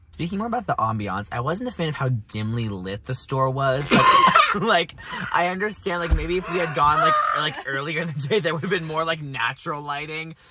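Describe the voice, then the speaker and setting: Loud background noise sits under a man talking at a fairly quick pace. The sound is dry, with no echo. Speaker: student reviewer. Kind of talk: casual vlog chat. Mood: cheerful, smiling. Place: car. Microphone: phone near.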